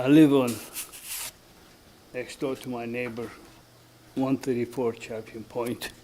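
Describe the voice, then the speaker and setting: With a non-native accent, a man of medium pitch speaks at a fairly slow pace in a monotone, flat way, with long, frequent pauses, big swings in loudness, and noticeable background noise. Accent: foreign. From Germany. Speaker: resident speaking at public comment. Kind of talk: public comment at town meeting. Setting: municipal planning commission meeting.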